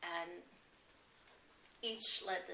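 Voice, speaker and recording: Very slow speech from a woman over noticeable background noise. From Germany. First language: German. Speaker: Holocaust refugee. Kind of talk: oral history interview answer.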